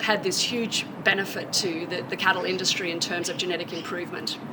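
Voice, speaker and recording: A woman talks at a fairly quick pace. Background noise is noticeable. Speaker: university animal science extension specialist. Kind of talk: interview answer.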